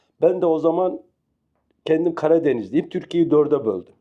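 Here a man is speaking. He keeps a moderate pace. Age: 60s. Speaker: retired veterinary health technician, interviewee. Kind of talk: interview. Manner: halting, many fillers.

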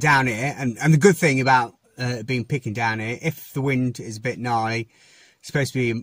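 A man's somewhat breathy voice at a fairly quick pace, dry with no echo, over a quiet background. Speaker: fishing vlogger. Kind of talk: casual vlog chat. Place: car. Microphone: phone near.

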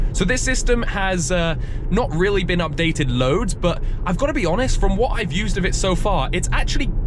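A man at a fairly quick pace, dry with no echo, over noticeable background noise. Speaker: car channel host driving. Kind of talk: casual vlog commentary. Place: car.

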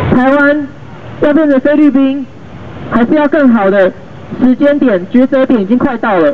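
Over light background noise, a man with an extremely high pitch speaks at a moderate pace with long, frequent pauses, ordinary pitch variation and very even loudness. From Taiwan, Zhongli (Taoyuan); Taiwan. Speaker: local council candidate; council candidate. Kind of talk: campaign street speech. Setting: outdoors at train station, raised platform. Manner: impassioned. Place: street. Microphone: camera far.

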